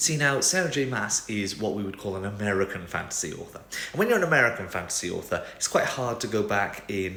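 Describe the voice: Lively intonation in plain reading aloud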